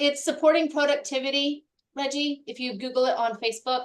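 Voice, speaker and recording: A woman talks at a fairly quick pace. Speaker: real estate operations director and workshop host. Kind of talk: online workshop wrap-up. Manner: fast; animated.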